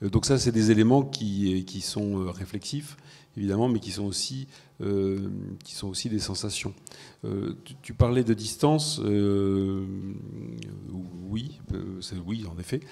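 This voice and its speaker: This man's voice is fairly low, dark and mellow, with ordinary pitch variation. He speaks very slowly, leaving long, frequent pauses. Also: big swings in loudness. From non-French culture. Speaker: event moderator. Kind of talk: panel discussion.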